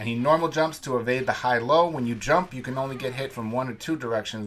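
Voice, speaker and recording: There is noticeable background noise behind a man speaking very fast. His pitch is medium, with ordinary variation. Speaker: tournament player and commentator. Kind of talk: sports commentary. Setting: recorded voiceover over match footage. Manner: casual, matter-of-fact play-by-play; profane, laid-back banter.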